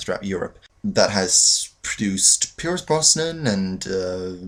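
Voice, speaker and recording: A man with a non-native accent amid noticeable background noise. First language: not English. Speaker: aspiring actor vlogger. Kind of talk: casual vlog storytelling.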